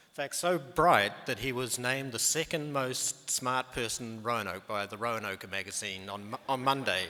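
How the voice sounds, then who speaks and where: Barely pausing, a man with a New Zealand accent speaks at a moderate pace and a medium pitch with ordinary pitch variation. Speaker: medical research scientist. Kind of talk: conference presentation. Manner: halting, many fillers.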